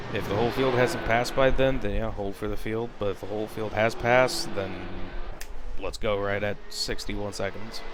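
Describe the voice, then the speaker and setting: A man's fairly low voice with fairly even intonation, noticeable background noise and audible room echo. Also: moderate pace. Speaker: race spotter. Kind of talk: casual chat. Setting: live stream. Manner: sometimes not projecting voice. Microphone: mic picks up quietly in stream.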